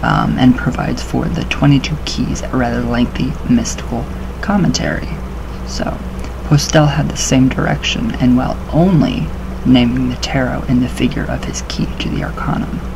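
There is noticeable background noise as a man talks at a moderate pace. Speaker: occult-themed vlogger. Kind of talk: reading aloud with casual commentary. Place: home room. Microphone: webcam.

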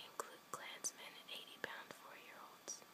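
A whisper is heard against noticeable noise in the background. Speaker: ASMR content creator. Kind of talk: bedtime story reading. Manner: whispered.

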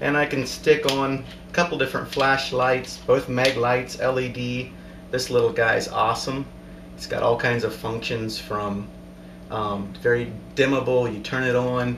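Against noticeable background noise, a man of medium pitch talks fairly slowly with fairly even intonation. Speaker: airgun hunter and hobbyist. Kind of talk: casual talk to camera. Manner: hesitant, sometimes stuttering. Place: home room. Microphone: camera far.

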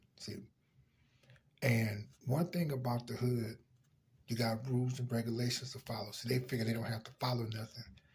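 At a fairly quick pace, a man speaks in a somewhat breathy voice. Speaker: vlogger. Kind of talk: casual vlog commentary. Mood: serious, opinionated. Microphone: phone near.

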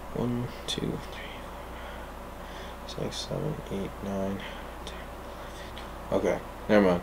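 A man's voice at a moderate pace over light background noise. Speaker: fitness vlogger. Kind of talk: casual vlog chat. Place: home room. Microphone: camera far.

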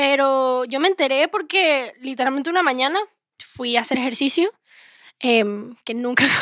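A woman's high, bright, sharp voice at a moderate pace, with ordinary pitch variation and long, frequent pauses, in a dry sound with no echo against a quiet background. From Venezuela, raised in Miami; Venezuela. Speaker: singer-songwriter; guest. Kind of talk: casual interview chat. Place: studio. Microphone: handheld.

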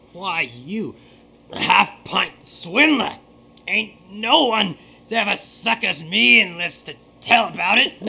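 Pitched high with very wide pitch swings, a man talks at a fairly slow pace with long, frequent pauses. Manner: menacing, threatening.

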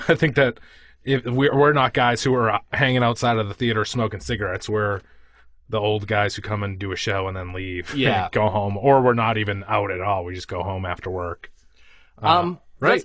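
A man talks with a Boston accent at a fairly low pitch. His pace is moderate, his pitch variation ordinary, and the background quiet. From Quincy, Massachusetts. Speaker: podcast co-host.

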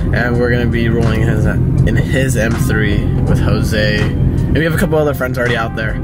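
This man speaks at a moderate pace while music plays in the background. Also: hardly any pauses. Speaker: car vlogger. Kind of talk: casual vlog chat. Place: car. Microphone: phone near.

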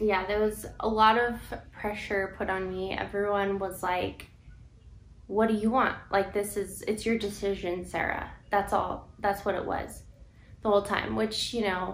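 A woman speaks at a fairly slow pace in a monotone, flat voice, with light background noise and audible room echo. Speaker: vlogger telling her story. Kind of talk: casual vlog chat. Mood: serious, emotional personal story. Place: home room. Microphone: camera far.

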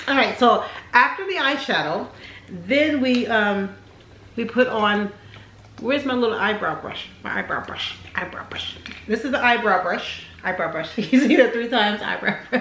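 With audible room echo and light background noise, a woman speaks at a moderate pace. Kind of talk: casual vlog chat. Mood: playful, laughing. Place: home room. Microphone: camera far.

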